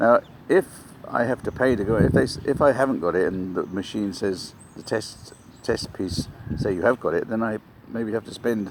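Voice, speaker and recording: A man with an English accent at a moderate pace, medium in pitch, with ordinary pitch variation. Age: 60s. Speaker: vlogger. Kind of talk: casual vlog monologue. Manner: rambling, halting.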